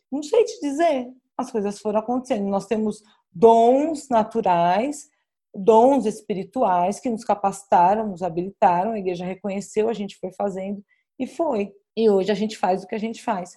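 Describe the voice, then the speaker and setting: Speaking at a moderate pace, a woman has a fairly high pitch, a dark, mellow tone and ordinary pitch variation. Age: 40s. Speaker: pastor. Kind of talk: casual chat.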